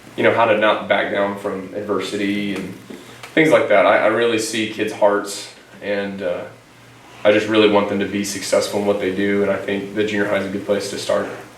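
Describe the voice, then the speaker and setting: A man with a Texan accent and fairly low pitch at a fairly quick pace, with audible room echo and noticeable background noise. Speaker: teacher and coach. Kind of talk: interview. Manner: energetic; loud.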